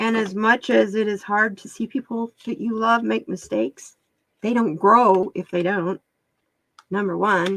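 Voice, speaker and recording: In an ordinary speaking voice, a woman talks fairly slowly at a medium pitch with fairly even intonation, in a dry, close sound with no echo. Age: 60s. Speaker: tarot card reader. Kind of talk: live-stream card reading and chat. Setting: live stream. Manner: casual, conversational with fillers.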